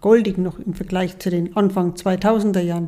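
A woman speaks at a moderate pace in a medium pitch. Her tone is dark and mellow, and her intonation is monotone and flat. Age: 60s. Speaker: mother of the host. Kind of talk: casual chat. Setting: sitting together in person.

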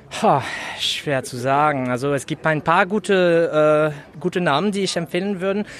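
With noticeable background noise behind him, a man speaks at a moderate pace in a fairly high pitch with ordinary pitch variation. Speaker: local party member. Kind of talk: interview. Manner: halting.

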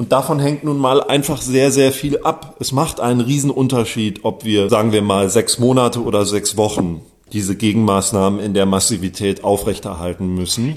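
A man talks in a normal speaking voice at a medium pitch, at a moderate pace with ordinary pitch variation. He leaves hardly any pauses. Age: 40s. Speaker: journalist. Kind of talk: interview.

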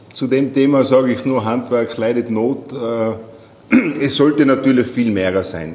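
A man's medium-pitched voice at a very slow pace, fairly even in intonation, with audible room echo. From Austria, Tyrol. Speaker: sales manager. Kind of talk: interview. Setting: meeting room on location.

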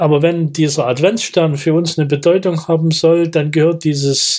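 This man has a plain, everyday voice, pitched fairly high, moving at a moderate pace with fairly even intonation. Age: 60s. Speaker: retired mayor and former deacon. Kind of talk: interview answers, reflective.

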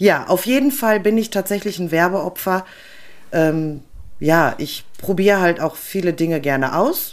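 An unremarkable speaking voice with lively intonation moves at a fairly slow pace. The recording is very clean, with a silent background. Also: woman, medium pitch for a woman. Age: 40s. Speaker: podcast co-host. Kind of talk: casual chat.

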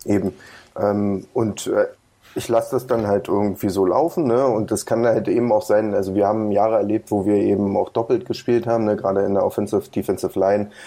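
Speaking at a fairly quick pace, this man has a fairly low pitch, fairly even intonation and very even loudness. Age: 30s. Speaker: American football club coach. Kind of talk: interview. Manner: halting, many fillers.

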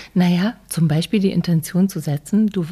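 On a very clean recording with a silent background, a woman with a dark, mellow tone and fairly low pitch speaks somewhat breathily at a fairly slow pace, with fairly even intonation. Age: 50s. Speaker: author and online platform founder. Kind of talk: casual chat.

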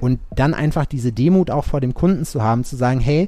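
A man with a dark, mellow tone and a fairly high pitch talks at a fairly quick pace. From Sauerland, western Germany. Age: 30s. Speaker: tattoo artist. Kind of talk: casual interview chat.

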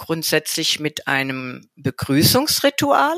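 Very slow and lively in intonation, a woman's bright, sharp voice comes through dry and close with no echo on a very clean recording with a silent background. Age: 60s. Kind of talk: interview.

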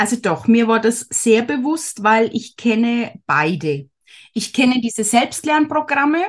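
A woman's fairly high pitch with very wide pitch swings at a fairly slow pace. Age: 40s. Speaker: handmade business owner, former course participant. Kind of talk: casual interview.

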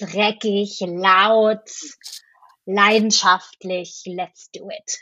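Speaking very slowly, a woman talks at a medium pitch. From Franconia, Bavaria. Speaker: actress and musical performer. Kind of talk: casual interview chat.

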